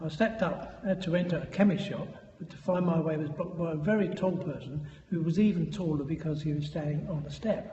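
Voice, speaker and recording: A man's fairly high voice at a fairly quick pace, with fairly even intonation, noticeable background noise and audible room echo. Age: 80s+. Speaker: guest storyteller. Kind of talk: anecdote monologue.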